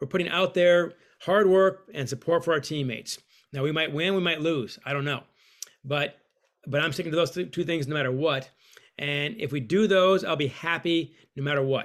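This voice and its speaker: A man with a normal speaking voice talks at a moderate pace, his pitch fairly high and its variation ordinary. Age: 50s. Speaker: author and hockey coach. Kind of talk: interview.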